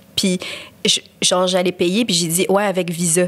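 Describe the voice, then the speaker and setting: A woman talks at a moderate pace. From Quebec. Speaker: podcast co-host. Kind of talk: casual chat. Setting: studio. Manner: code-switching French and English.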